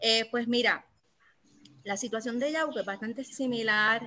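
At a fairly slow pace, a woman talks in a bright, sharp tone with ordinary pitch variation. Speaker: teacher and political candidate. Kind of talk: political discussion on Facebook Live. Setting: Facebook Live.

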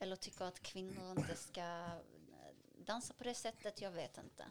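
With ordinary pitch variation, a woman talks in a plain, everyday voice. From Syria. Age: 20s. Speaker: cultural activist and dancer. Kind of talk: interview.

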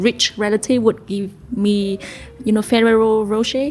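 A woman's medium-pitched voice with a Vietnamese accent. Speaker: podcast co-host, restaurateur. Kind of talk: casual interview. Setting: studio.

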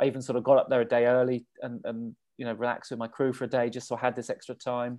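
Very fast speech in an English accent, delivered with monotone, flat intonation. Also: man, medium pitch for a man. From England. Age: 40s. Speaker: ultrarunner. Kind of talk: interview. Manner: halting.

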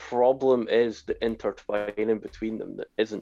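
This is a man speaking with a Scottish accent. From Scotland. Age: 40s. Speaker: podcast co-host. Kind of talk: casual chat.

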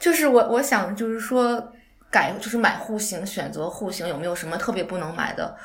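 A woman of medium pitch with lively intonation at a moderate pace, amid noticeable background noise and audible room echo. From outside Beijing, China. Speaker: home design researcher. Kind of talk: casual chat.

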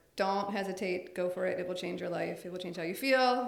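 At a fairly quick pace, a woman with a medium pitch and ordinary pitch variation talks over noticeable background noise, with audible room echo. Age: 40s. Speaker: paralegal and business owner, gym member. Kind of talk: casual interview.

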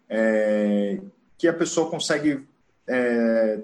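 A man talks with ordinary variation in his pitch. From Brazil, Santa Catarina (Joinville). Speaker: bicycle parking entrepreneur. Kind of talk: presentation talk. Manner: halting, many fillers.

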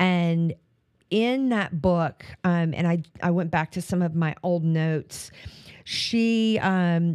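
Very clean and silent in the background, the recording carries a woman's a normal speaking voice. Her pitch is fairly low, with ordinary pitch variation. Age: 60s. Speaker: podcast host and life coach. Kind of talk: solo motivational talk. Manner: casual, with frequent fillers and restarts.

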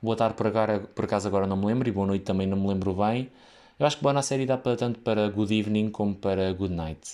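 Against a quiet background, a man with a European Portuguese accent speaks in a dark, mellow tone, fairly low in pitch with ordinary pitch variation. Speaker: podcaster who works in hospitality. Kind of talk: casual solo monologue. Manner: halting, many fillers.

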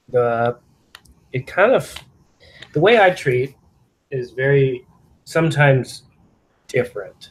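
Fairly high-pitched and somewhat breathy, a man speaks at a fairly slow pace with ordinary pitch variation and long, frequent pauses. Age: 30s. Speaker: chiropractor. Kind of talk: casual interview.

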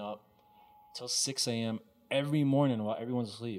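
Here is a normal speaking voice from a man, pitched at a medium level. The intonation is fairly even. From Texas. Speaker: sneaker shop owner. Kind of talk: interview.

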